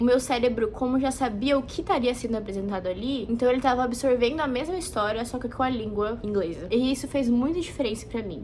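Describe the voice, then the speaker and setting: Very fast, lively speech from a high-pitched woman over noticeable background noise. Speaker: vlogger. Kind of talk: casual talk to camera.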